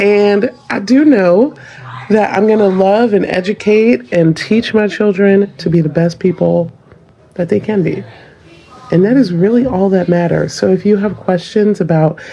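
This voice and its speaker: Over noticeable background noise, a woman talks at a moderate pace with a slight Southern US accent. Her tone is animated, with ordinary pitch variation. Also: medium pitch for a woman. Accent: slight Southern US, unexpected. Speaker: parent in social media clip. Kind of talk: casual vlog monologue.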